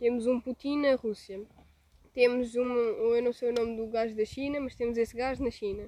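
Woman with a European Portuguese accent, high pitch, a dark, mellow tone, monotone, flat intonation and a moderate pace. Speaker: podcast co-host. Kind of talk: casual chat.

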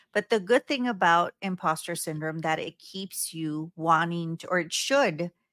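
On a very clean recording with a silent background, a woman speaks with a Spanish accent. Her fairly low voice has lively intonation and a fairly slow pace. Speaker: podcast host, anxiety expert. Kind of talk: casual chat.

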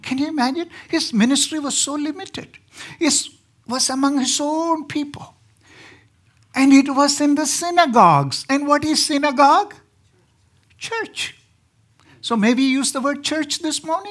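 A man speaks in an extremely high pitch. His speech has long, frequent pauses. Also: ordinary pitch variation, moderate pace. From southern India. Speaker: preacher. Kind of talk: sermon. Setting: church.

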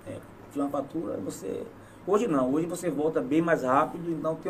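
A man's fairly high-pitched voice at a fairly quick pace, ordinary pitch variation, noticeable background noise behind him. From southern Bahia, Brazil. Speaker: local politician and former footballer. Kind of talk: casual interview.

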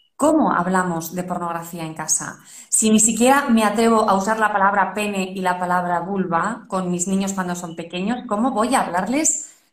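With audible room echo, a woman talks at a moderate pace. Her voice sits at a medium pitch and is somewhat breathy. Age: 40s. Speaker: parenting podcast host. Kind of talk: interview.

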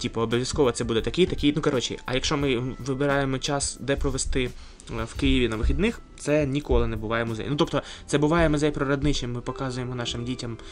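Over music in the background, a man talks at a very fast pace in a medium pitch with fairly even intonation. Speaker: podcast host. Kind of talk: casual chat. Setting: museum library.

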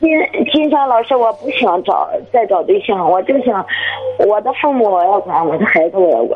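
Over noticeable background noise, a woman with a fairly high pitch makes very wide pitch swings while keeping her loudness very even. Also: moderate pace. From Heze, Shandong, China. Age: 30s. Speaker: caller. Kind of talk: call-in advice. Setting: phone call.

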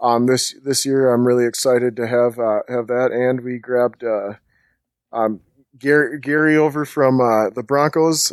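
On a very clean recording with a silent background, a man with a medium-pitched, normal speaking voice talks at a moderate pace with fairly even intonation. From Minnesota. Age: 30s. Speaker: sports writer and blogger. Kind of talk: casual chat.

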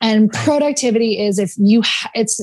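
A woman speaks with a fairly high pitch and ordinary pitch variation, sounding somewhat breathy. The background is quiet. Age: 20s. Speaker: productivity coach. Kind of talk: casual chat.

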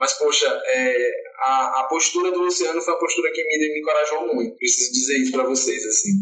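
Amid audible room echo, a man speaks fairly quickly with very even loudness. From Salvador, Bahia, Brazil. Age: 30s. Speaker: LGBT activist and fan group founder. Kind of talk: interview.

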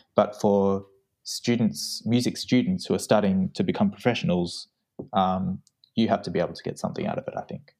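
Speaking fairly quickly with an Australian accent, a man's voice swings widely in loudness. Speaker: trumpet student. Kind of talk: casual interview chat. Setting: remote call.

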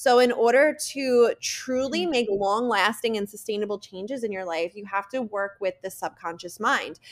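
The tone is enthusiastic, at a moderate pace. Loudness swings widely. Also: woman, fairly high pitch for a woman, ordinary pitch variation, hardly any pauses. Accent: New Jersey. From New Jersey. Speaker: podcast guest, EFT tapping and subconscious mind coach. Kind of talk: informal, with profanity. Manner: casual, heavy use of filler "like", enthusiastic.

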